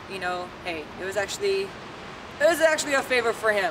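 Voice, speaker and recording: A woman with an American accent, lively intonation and a moderate pace, with noticeable background noise. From Southern California (Whittier). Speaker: barber. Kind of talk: personal testimony. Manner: loud; halting, many fillers.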